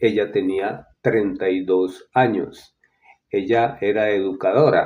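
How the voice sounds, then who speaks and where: A man talks very slowly with fairly even intonation. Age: 70s. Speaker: interviewee sharing grief experience. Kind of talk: interview testimony. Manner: halting, with many fillers.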